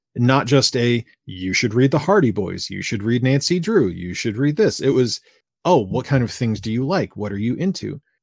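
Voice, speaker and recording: On a very clean recording with a silent background, a man at medium pitch talks at a moderate pace with lively intonation. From US Northeast (Fall River, Massachusetts). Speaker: YouTube video game reviewer. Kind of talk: casual interview. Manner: halting, many repetitions.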